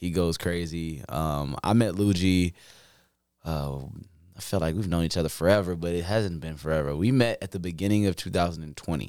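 A man's very deep, low voice with ordinary pitch variation, at a moderate pace, on a very clean recording with a silent background. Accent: American. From Chicago. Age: 20s. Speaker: hip hop artist. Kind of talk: casual chat. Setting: host's home.

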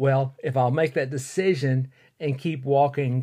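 A man with an Alabama accent, medium pitch, fairly even intonation and a moderate pace. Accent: Southern US (Alabama). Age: 60s. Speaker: podcast host and fitness instructor. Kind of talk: solo podcast monologue. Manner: casual with frequent fillers.

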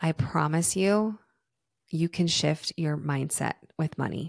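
Spoken at a very slow pace with fairly even intonation, the voice sounds dry and close, with no echo. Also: woman. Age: 30s. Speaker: podcast host and wellness facilitator. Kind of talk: guided breathing; casual solo monologue.

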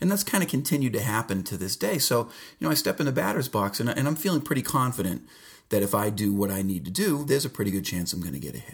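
Very wide pitch swings mark this man's fairly low, somewhat breathy voice. He talks at a very fast pace on a very clean recording with a silent background. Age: 40s. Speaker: podcast host. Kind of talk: casual solo monologue. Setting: home basement. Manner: halting, many fillers.

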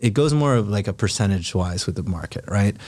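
On a very clean recording with a silent background, a man with an American accent and a plain, everyday voice speaks in a fairly low pitch with ordinary pitch variation. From Philippines, then California. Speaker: affordable housing entrepreneur selling mobile homes. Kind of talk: casual interview.

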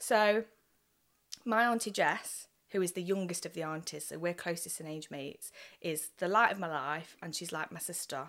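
Against a silent background in a very clean recording, a woman with an East Midlands accent and a fairly low pitch speaks with big swings in loudness. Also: ordinary pitch variation, moderate pace. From Nottingham, England. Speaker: poet. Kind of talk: casual chat.

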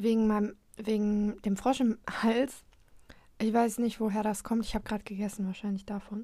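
A woman speaks at a moderate pace in a fairly high, dark, mellow voice with flat, monotone intonation. The recording is very clean, with a silent background. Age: young. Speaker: podcast host. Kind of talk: casual solo chat. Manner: halting, many fillers.

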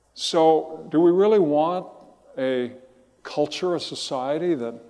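In a room with audible echo, a man speaks with a dark, mellow tone, a fairly high pitch and ordinary pitch variation. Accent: American. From Southern California. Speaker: pastor. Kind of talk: sermon.

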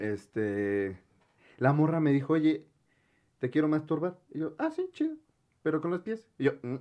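In a dark, mellow tone at a fairly high pitch, a man talks at a fairly slow pace with lively intonation and long, frequent pauses. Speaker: podcast co-host. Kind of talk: casual chat.

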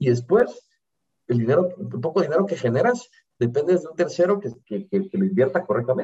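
The tone is dark and mellow, with very wide pitch swings and big swings in loudness. Delivery is fairly quick. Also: man, high pitch for a man. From Guatemala. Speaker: entrepreneur. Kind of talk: interview.

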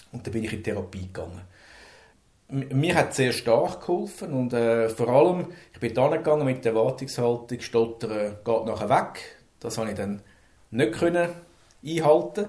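A man speaks at a moderate pace with a medium pitch and a somewhat breathy quality. His speech has long, frequent pauses. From Switzerland, Zürich. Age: 50s. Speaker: manager who stutters. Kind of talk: personal testimony. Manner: halting.

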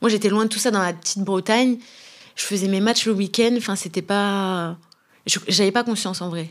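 A woman's plain, everyday voice at medium pitch, with fairly even intonation and a moderate pace, on a very clean recording with a silent background. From France, Brittany (Brest). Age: 30s. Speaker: professional footballer. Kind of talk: casual interview. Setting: club headquarters.

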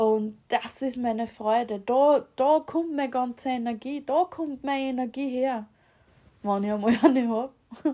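Speaking at a fairly slow pace, a woman with an Austrian accent has a high pitch, a dark, mellow tone, and ordinary pitch variation. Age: 30s. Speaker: podcast host. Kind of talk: casual monologue. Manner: halting, many fillers.

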